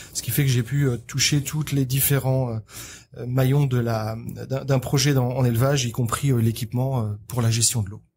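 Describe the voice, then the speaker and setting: With monotone, flat intonation, a man talks at a moderate pace in a somewhat breathy, medium-pitched voice. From France. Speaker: agricultural equipment company manager. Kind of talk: podcast interview. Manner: halting.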